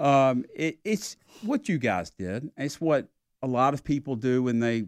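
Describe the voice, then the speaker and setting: A man's medium-pitched voice with a Southern US accent, dry and close with no echo, against a quiet background. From South Carolina. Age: 60s. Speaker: sports event executive. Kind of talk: casual interview.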